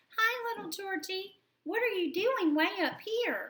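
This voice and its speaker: In a put-on character voice, a woman speaks squeaky and extremely high, with lively intonation and a fairly slow pace. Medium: read story.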